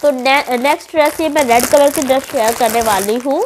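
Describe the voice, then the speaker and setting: Amid noticeable background noise, a woman talks at a moderate pace in a high voice, animated in tone with lively intonation. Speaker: fashion YouTuber. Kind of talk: product haul review. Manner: chatty, animated.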